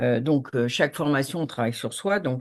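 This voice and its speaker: Against a quiet background, a woman talks with a very deep, low pitch and ordinary pitch variation. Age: 60s. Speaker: coach, participant. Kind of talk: casual chat. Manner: halting, many fillers.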